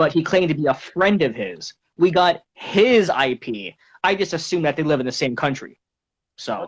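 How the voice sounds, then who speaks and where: With an animated tone and lively intonation, a man speaks at a moderate pace in a fairly high voice marked by vocal fry. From Canada. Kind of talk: heated confrontation interview. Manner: animated, confrontational.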